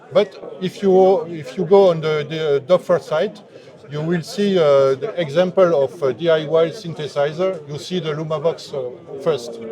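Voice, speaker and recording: Noticeable background noise accompanies a man who talks fairly slowly at a fairly high pitch. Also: ordinary pitch variation. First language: French. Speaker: synthesizer maker. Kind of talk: interview. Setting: trade fair booth. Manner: halting.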